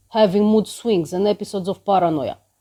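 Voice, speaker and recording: Fairly quick speech with a dark, mellow tone and fairly even intonation on a very clean recording with a silent background. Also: woman. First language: Romanian. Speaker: vlogger sharing personal experience. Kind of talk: personal testimony.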